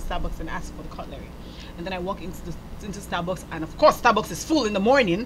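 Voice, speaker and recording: A woman talks at a very fast pace with very wide pitch swings. Noticeable background noise and audible room echo surround her. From Nigeria. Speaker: talk show host. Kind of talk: casual chat. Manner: animated.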